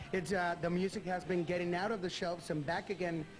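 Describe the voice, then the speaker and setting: Music plays in the background as a man with a Spanish accent speaks amid audible room echo. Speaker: TV interviewer. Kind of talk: interview. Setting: backstage dressing room.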